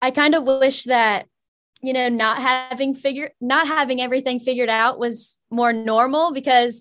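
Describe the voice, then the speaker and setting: With an American accent, a woman speaks at a moderate pace in a monotone, flat intonation against a quiet background. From Virginia. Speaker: college student. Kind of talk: interview.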